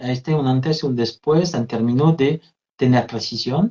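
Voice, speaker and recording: A man with a French accent, somewhat breathy, at a fairly slow pace with ordinary pitch variation. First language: French (speaking Spanish). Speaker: therapist and trainer. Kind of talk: interview, live video conversation.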